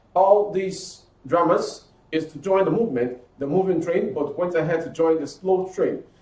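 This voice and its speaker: Audible room echo carries a man's high-pitched voice, which moves at a moderate pace with ordinary pitch variation. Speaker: news presenter. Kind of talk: news reading.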